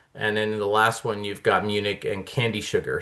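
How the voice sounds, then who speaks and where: A man with a Midwestern US accent against a quiet background. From US Midwest. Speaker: homebrew club presenter. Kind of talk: club talk presentation. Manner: hesitant, many fillers.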